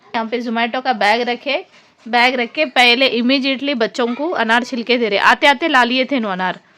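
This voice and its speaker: Noticeable background noise sits behind this woman's voice. She speaks high-pitched at a moderate pace, with ordinary pitch variation. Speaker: vlogger. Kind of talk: casual vlog narration.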